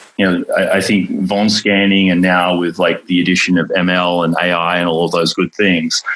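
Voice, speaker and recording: Over noticeable background noise, a man with an Australian accent speaks at a moderate pace with hardly any pauses, his pitch very deep and low and his intonation monotone and flat. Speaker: tech company founder. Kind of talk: interview. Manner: many fillers and repetitions.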